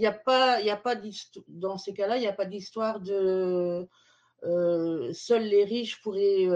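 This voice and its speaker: At a very slow pace, a woman talks in a dark, mellow tone with ordinary pitch variation. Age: 50s. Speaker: digital mediator and festival organizer. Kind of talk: interview. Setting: video call. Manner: hesitant, many fillers.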